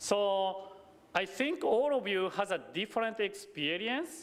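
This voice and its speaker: A man talks at a high pitch with very wide pitch swings. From Japan. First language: Japanese. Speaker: Buddhist minister. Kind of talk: sermon. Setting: temple service. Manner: halting.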